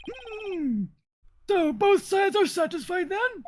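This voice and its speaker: An extremely high pitch in a put-on character voice. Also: fairly slow pace. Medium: fan dub. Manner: emphatic, easily impressed.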